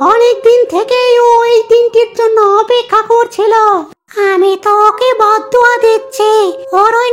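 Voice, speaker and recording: This cartoonish character voice sounds female and is pitched extremely high. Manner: gossipy.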